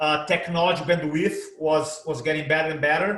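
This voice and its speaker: A man speaks at a moderate pace with a Brazilian accent, and room echo is audible. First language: Portuguese. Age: 50s. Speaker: presentation coach. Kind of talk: interview. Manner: animated.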